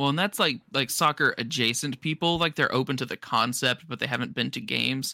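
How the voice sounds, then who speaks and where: Dry and close with no echo in a very clean recording with a silent background, a man with a medium pitch, a bright, sharp tone, and vocal fry talks at a fairly quick pace with hardly any pauses. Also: ordinary pitch variation. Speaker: podcast co-host. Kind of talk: casual chat.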